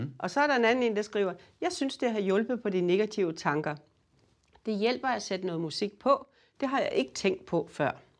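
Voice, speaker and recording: Over a quiet background, a woman with a fairly high voice speaks at a moderate pace with very wide pitch swings. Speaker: retired music therapy professor; guest. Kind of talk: interview explaining her field. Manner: hesitant, many fillers. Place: studio.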